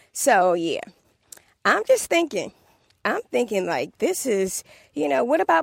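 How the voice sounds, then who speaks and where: A woman with a DC accent speaks at a fairly slow pace with very wide pitch swings. The sound is dry and close, with no echo. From Washington DC area. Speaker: podcast host. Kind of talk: casual solo monologue podcast. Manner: conversational, animated.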